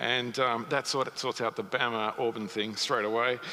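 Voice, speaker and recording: Noticeable background noise sits behind a man who talks at a moderate pace with a slight Australian accent. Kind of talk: sermon. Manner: halting, many fillers.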